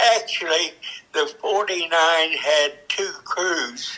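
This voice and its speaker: With noticeable background noise, a man speaks at a very slow pace. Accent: American. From Kansas. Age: 90s. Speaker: war veteran. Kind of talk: interview answer.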